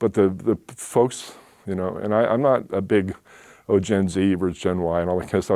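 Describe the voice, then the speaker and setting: Recorded very cleanly against a silent background, a man speaks with a very deep, low pitch and a dark, mellow tone. His pace is fairly quick and his intonation fairly even. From Oakland, California. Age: 60s. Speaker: small business owner. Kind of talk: talk Q&A.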